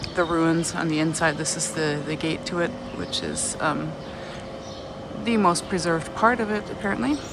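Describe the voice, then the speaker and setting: With noticeable background noise and audible room echo around her, a woman speaks fairly slowly. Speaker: travel vlogger. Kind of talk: walking vlog. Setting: outdoors walking.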